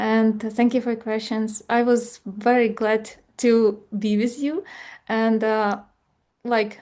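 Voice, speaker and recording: Against a quiet background, a woman speaks at a very slow pace with monotone, flat intonation. Her pitch is fairly high and her tone dark and mellow. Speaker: folk art lecturer. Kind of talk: Q&A after a lecture. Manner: halting.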